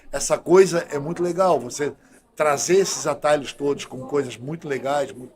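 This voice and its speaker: The speaker is a man using an unremarkable speaking voice. He keeps a moderate pace with ordinary pitch variation. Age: 60s. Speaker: doctor and health official. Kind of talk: podcast interview. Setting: studio.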